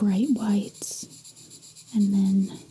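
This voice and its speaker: Soft-spoken, a woman talks at a very slow pace over noticeable background noise. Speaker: artist. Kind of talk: soft-spoken ASMR drawing tutorial.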